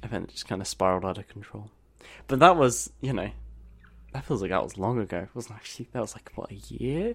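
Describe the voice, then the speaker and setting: Vocal fry and lively intonation mark this fairly quick delivery, with big swings in loudness. The recording is very clean, with a silent background. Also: man. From Britain. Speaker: podcast co-host. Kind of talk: casual chat.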